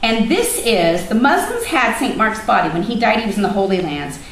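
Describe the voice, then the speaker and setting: A woman's voice sits at a fairly high pitch. Audible room echo and noticeable background noise surround it. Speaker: teacher leading a student trip meeting. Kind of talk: informational meeting presentation.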